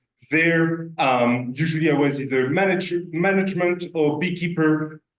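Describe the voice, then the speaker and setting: A man with a French accent, fairly high in pitch, with ordinary pitch variation. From France. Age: 30s. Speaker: beekeeping business owner. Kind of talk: presentation to a club meeting. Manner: hesitant, many filler sounds.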